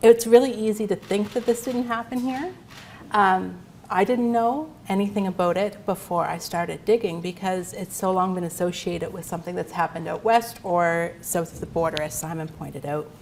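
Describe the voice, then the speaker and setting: A quiet woman's voice at medium pitch, with ordinary pitch variation and a moderate pace. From Nova Scotia. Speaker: history lecturer. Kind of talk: lecture.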